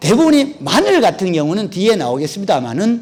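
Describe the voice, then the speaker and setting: A high-pitched man's voice with very wide pitch swings, against noticeable background noise. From Korea, North Gyeongsang (Uiseong). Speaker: agricultural researcher and lecturer. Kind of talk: lecture. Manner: conversational, with frequent fillers.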